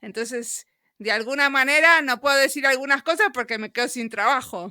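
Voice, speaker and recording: In a Rioplatense accent, a raised, projected voice with a bright, sharp tone speaks at a moderate pace with ordinary pitch variation, in a dry, close sound with no echo and a very clean recording against a silent background. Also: woman, high pitch for a woman. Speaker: podcast interviewer. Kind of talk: interview.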